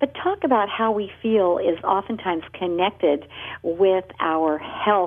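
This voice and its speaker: A woman's normal speaking voice at a medium pitch, with ordinary pitch variation: a normal speaking voice. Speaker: radio host. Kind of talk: radio interview. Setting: radio show.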